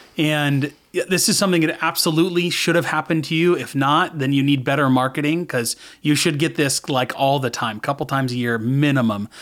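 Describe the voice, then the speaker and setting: Speaking in a Californian accent, a man uses a fairly high pitch, ordinary pitch variation and a fairly quick pace. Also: hardly any pauses. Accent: Californian American. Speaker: sales coach. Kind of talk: interview.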